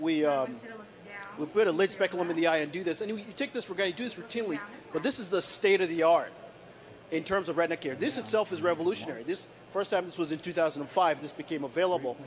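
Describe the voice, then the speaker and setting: Very fast and animated, a man speaks in a high voice with ordinary pitch variation. Noticeable background noise can be heard. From Nigeria. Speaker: keynote speaker and doctor. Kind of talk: keynote talk. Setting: stage with audience. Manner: animated, conversational, engaging the audience. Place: stage. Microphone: handheld.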